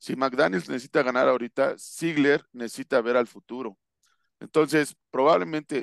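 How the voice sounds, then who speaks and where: In a dry, close recording with no echo and a quiet background, a man talks at a moderate pace, his pitch medium with ordinary variation. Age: 40s. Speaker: American football coach. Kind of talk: casual interview analysis. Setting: video call. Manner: hesitant with fillers and repetitions.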